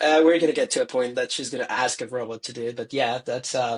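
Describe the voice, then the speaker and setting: A man speaks very fast at a medium pitch. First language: not English. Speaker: tourism professional. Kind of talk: casual chat. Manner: halting.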